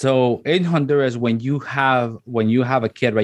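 In a Spanish accent, a man speaks at moderate pace and medium pitch with ordinary pitch variation against a quiet background. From Honduras. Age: 30s. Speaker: radio host. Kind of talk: casual interview. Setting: video call. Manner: halting, many fillers and repetitions.

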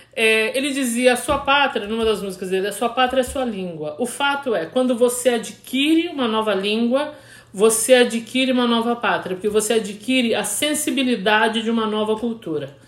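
Through noticeable background noise, a woman talks at a moderate pace with hardly any pauses, in a fairly high pitch with ordinary variation. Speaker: podcast host. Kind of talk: casual chat. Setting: recording with a Hudson River view, trains nearby.

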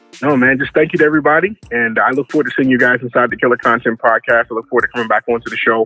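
Speaking with an American accent at a very fast pace with hardly any pauses, a man has a bright, sharp tone, medium pitch and ordinary pitch variation, recorded with a dry, close sound and no echo. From Baltimore, Maryland. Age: 40s. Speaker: photographer. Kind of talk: casual interview.

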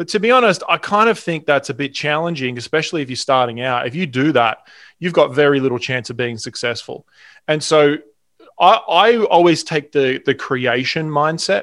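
With an Australian accent, a man talks at a moderate pace with lively intonation and a fairly high pitch, on a very clean recording with a silent background. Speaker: sales trainer and entrepreneur. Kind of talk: casual interview chat.

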